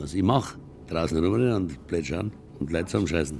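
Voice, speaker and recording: This man's pitch swings very widely as he talks at a moderate pace, with noticeable background noise behind him. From Lower Franconia (Würzburg). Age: 70s. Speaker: concert venue operator. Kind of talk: interview.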